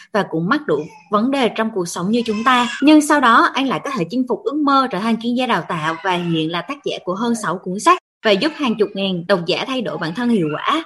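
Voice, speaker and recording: This woman has a plain, everyday voice, pitched fairly high. She speaks at a fairly quick pace with lively intonation. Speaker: MC. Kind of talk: hosting, introducing the show.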